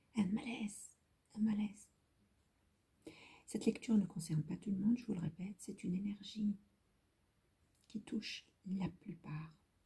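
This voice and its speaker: This woman's voice is somewhat breathy and medium in pitch. She speaks at a moderate pace with ordinary pitch variation. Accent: non-native. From Lebanon. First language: Hebrew (speaking French). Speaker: tarot reader. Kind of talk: tarot reading video. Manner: halting, repetitive.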